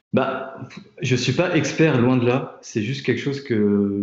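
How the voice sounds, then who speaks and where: A man speaks at a fairly slow pace with ordinary pitch variation, and audible room echo surrounds him. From France, Tours. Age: 20s. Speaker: product designer. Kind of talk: interview. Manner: halting, many fillers and repetitions.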